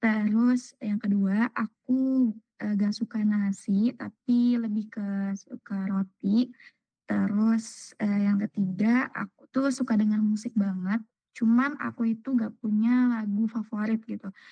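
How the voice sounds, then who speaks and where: This woman talks at a very slow pace, somewhat breathy, with a fairly high pitch and monotone, flat intonation. The sound is dry and close, with no echo. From Indonesia, Cirebon. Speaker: new university student. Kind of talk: self-introduction on video call. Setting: video call.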